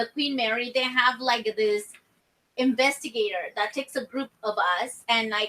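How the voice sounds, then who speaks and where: Her voice is loud, with a bright, sharp tone. The woman speaks at a high pitch with ordinary pitch variation. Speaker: paranormal investigator. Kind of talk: casual chat.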